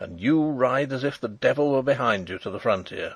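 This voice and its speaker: A put-on character voice from a man at medium pitch, gruff, growling and raspy, at a fairly quick pace. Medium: read story. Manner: blunt, scornful.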